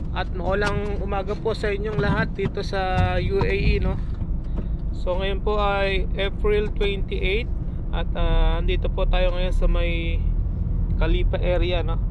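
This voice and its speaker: The speaker talks at a very slow pace over loud background noise. The sound itself is dry with no echo. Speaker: driver vlogger. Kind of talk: casual vlog chat. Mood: calm, friendly. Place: car. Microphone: phone near.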